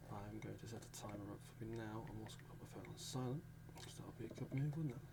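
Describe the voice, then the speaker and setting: A soft-spoken man talks at a very fast pace. Noticeable background noise runs under his voice. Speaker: ASMR creator. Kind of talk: ASMR sleep aid talk to camera.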